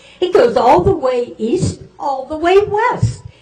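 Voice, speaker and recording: A woman with lively intonation against noticeable background noise. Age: 80s+. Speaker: resident making public comment. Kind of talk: public comment at council meeting.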